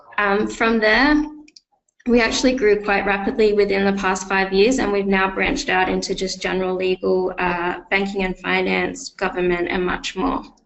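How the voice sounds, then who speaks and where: A woman talks with an Australian accent at a moderate pace. Her medium-pitched voice has ordinary pitch variation. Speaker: client success manager presenting a software webinar. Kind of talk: webinar presentation. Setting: online webinar.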